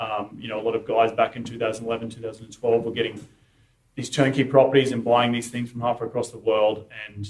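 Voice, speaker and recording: Somewhat breathy and in an Australian accent, a man talks at a very fast pace with monotone, flat intonation. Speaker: real estate investor and podcaster. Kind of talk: talk at investor meetup.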